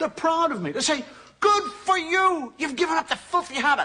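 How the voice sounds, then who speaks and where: In an Irish accent, a raised, projected voice with a bright, sharp tone moves through very wide pitch swings at a moderate pace. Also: man. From Ireland. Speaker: comedian. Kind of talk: stand-up comedy monologue. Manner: conversational, hesitant.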